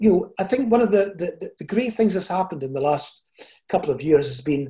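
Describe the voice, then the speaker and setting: Lively intonation marks this man's high voice, which has a dark, mellow tone. He talks at a fairly quick pace. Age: 70s. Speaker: motivational speaker and coach. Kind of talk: interview conversation.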